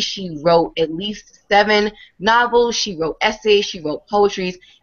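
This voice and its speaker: In a New York accent, a woman talks at a fairly slow pace with an animated tone and ordinary pitch variation. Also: hardly any pauses. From New York, Brooklyn. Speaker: online beauty show host. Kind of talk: live video chat show.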